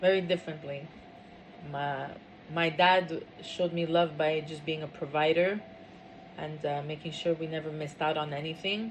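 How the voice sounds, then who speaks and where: A woman with a very deep, low voice speaks at a moderate pace with fairly even intonation and long, frequent pauses. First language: French. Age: 50s. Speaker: interviewee. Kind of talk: interview. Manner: hesitant, many fillers.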